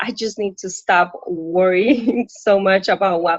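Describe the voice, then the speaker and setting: Here a woman speaks in a Puerto Rican accent. Her pitch is medium. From Puerto Rico. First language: Spanish. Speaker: coaching client, working mother. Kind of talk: live coaching session. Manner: halting.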